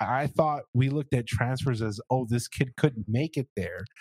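A somewhat breathy voice speaks at a moderate pace in a dry, close sound with no echo. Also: man. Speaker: sports podcast host. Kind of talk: casual sports talk interview.

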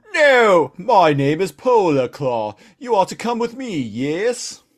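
Using a put-on character voice in a British accent, a man speaks high and at a fairly slow pace, with very wide pitch swings. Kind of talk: posh, formal.

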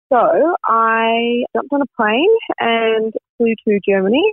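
A woman with an Australian accent speaks at a fairly high pitch, her intonation lively. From Melbourne, Australia. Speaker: beauty brand founder. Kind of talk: casual interview.

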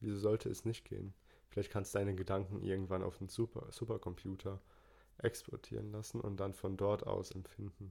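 A man's fairly low, somewhat breathy voice with a dark, mellow tone and monotone, flat intonation. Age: 20s. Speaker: podcast co-host. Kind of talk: casual chat.

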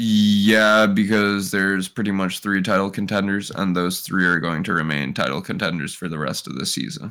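With an American accent, a man talks at a moderate pace in a bright, sharp tone, hardly pausing, as the room echo comes through. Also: ordinary pitch variation. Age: 20s. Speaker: football podcast co-host. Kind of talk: casual chat.

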